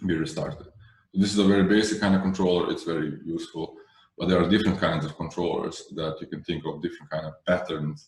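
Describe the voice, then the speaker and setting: A man's very deep, low voice at a very fast pace, with audible room echo. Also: fairly even intonation. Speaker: Kubernetes trainer. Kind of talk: technical workshop lecture. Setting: video call webinar.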